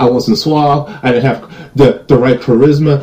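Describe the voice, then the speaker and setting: A man with an American accent speaks at a fairly slow pace in a fairly high pitch. His voice is somewhat breathy with a dark, mellow tone. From United States. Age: 30s. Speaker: YouTube commentator. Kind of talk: reading comments with commentary. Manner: animated.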